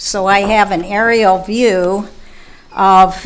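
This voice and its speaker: A woman speaks at a medium pitch. Music plays in the background. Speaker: resident speaking at public comment. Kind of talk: public comment at council meeting. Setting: council chamber with microphone. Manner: quiet.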